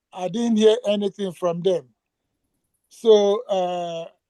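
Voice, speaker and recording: With fairly even intonation, a man speaks in a dark, mellow tone, the sound dry and close with no echo. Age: 70s. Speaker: retiree asking questions. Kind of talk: Q&A session. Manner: halting.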